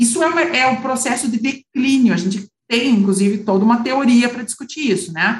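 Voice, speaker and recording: At a fairly quick pace, a woman speaks in a high voice with ordinary pitch variation. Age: 40s. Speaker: lawyer and independent board member. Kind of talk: interview.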